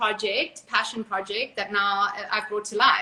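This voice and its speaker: A woman speaks at a moderate speed against noticeable background noise. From South Africa. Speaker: reality TV cast member and author. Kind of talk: interview.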